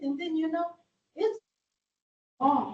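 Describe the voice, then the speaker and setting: A woman is speaking. She has a non-native accent. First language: not English. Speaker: resident at public meeting. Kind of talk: public comment. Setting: public library meeting room. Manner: halting.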